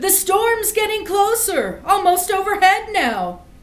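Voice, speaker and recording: A woman's put-on character voice, extremely high in pitch, at a fairly slow pace, with audible echo. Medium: read story.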